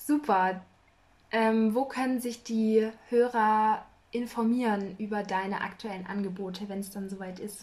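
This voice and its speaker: A woman talks at a fairly slow pace in an unremarkable speaking voice. Her pitch is fairly high and her intonation fairly even. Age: 20s. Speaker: podcast host. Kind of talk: casual interview.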